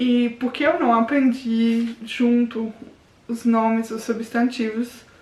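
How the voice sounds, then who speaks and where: The woman's pitch is high. Her intonation stays fairly even. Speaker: language learning youtuber. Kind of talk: casual vlog tutorial. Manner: informal, with false starts.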